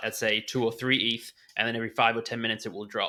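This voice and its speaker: Over a silent background on a very clean recording, a man with an Australian accent talks at a fairly quick pace in a bright, sharp tone with monotone, flat intonation. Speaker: NFT trader and former poker player. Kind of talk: podcast interview.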